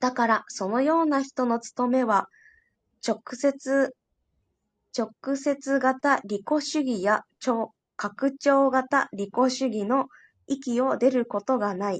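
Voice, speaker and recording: In a dry, close sound with no echo and a quiet background, a woman with a high pitch and ordinary pitch variation talks at a very slow pace with long, frequent pauses. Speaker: study group participant. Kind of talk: reading aloud. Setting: online audio room.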